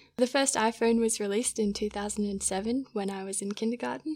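A woman speaks with an Australian accent. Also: very clean recording, silent background. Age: 20s. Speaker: physiotherapy student. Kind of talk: casual chat.

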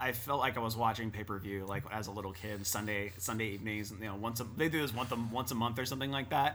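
Amid audible room echo, a man talks fairly quickly with ordinary pitch variation. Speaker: podcast co-host. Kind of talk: casual chat.

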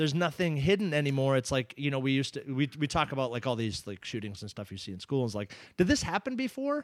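This man speaks at a very fast pace with an American accent and lively intonation, on a very clean recording with a silent background. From Massachusetts, US. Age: 30s. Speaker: jiu-jitsu competitor. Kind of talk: casual chat. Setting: studio.

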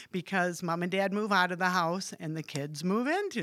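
On a very clean recording with a silent background, an unremarkable speaking voice varies its pitch in an ordinary way at a moderate pace. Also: woman. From West Michigan, US (Hamilton). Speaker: church member sharing faith story. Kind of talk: casual chat.

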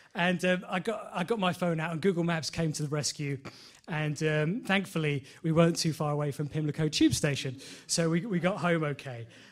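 The man's pitch sits fairly high and varies in an ordinary way. He talks at a fairly quick pace. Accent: London. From London, Enfield. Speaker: lay preacher. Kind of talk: sermon. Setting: church. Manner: halting, many fillers.

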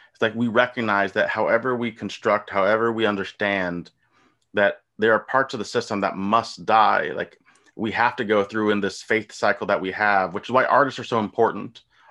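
With an American accent, a man speaks at a fairly low pitch and moderate pace, his bright, sharp tone following fairly even intonation over a quiet background. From US, rural. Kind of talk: casual chat.

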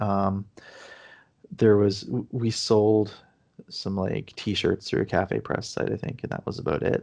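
A man with a fairly low pitch talks at a very slow pace, leaving long, frequent pauses. The background is quiet. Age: 30s. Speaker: indie game developer. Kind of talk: casual interview. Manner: hesitant, many fillers.

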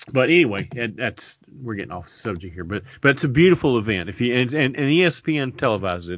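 Speaking very fast with hardly any pauses, a man with a Kentucky accent and a medium pitch makes very wide pitch swings. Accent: Kentucky Southern US. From Kentucky, Lexington. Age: 60s. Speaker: podcast co-host. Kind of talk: casual chat.

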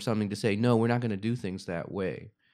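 A man's medium-pitched voice, an ordinary speaking voice, with fairly even intonation, on a very clean recording with a silent background. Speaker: parent of student, guest. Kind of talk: casual conversational interview. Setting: video recording for YouTube.

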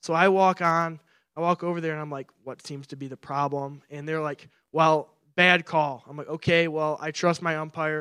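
Bright, sharp tone in a Midwestern American accent, monotone and flat, at a moderate pace, dry and close with no echo, on a very clean recording with a silent background. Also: man, fairly high pitch for a man. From Michigan. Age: 20s. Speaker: pastoral resident. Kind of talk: sermon. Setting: church.

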